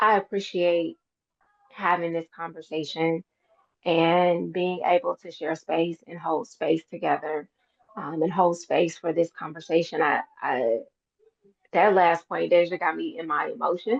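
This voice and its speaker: A raspy, put-on character voice from a woman, fairly low in pitch, at a moderate pace. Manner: calm, soft, therapist-like.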